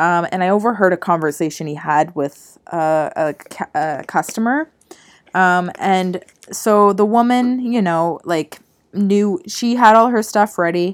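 With a normal speaking voice, a woman talks at a fairly slow pace, using medium pitch and lively intonation. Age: 20s. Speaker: podcast co-host. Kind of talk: casual chat.

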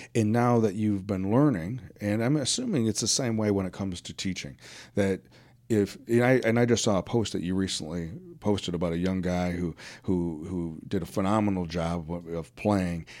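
A man speaks with an American accent at a moderate pace, with ordinary pitch variation. The recording is very clean, with a silent background. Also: fairly low pitch for a man. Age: 50s. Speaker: podcast host. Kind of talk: interview. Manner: hesitant, many fillers.

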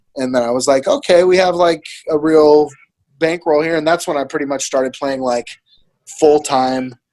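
A man with an American accent speaks in an ordinary speaking voice, pitched fairly high. His intonation stays fairly even. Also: moderate pace. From Monterey, California. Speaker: battle rapper and professional poker player. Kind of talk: casual chat.

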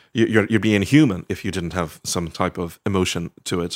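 A man with a Dublin accent and a very deep, low pitch speaks at a fairly quick pace in a very clean recording with a silent background. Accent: Dublin Irish. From Ireland, Dublin (Sandyford). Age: 40s. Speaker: novelist. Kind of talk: casual interview. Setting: at his home. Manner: halting, many fillers.

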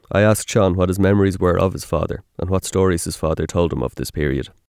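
A man with an Irish accent speaks at a very fast pace in a very deep, low pitch and a dark, mellow tone, with ordinary pitch variation, on a very clean recording with a silent background. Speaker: podcast host. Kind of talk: scripted narration.

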